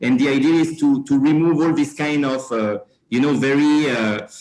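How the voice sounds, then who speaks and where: A man with a French accent. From France. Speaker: company regional manager. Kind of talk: panel discussion. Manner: halting, many fillers.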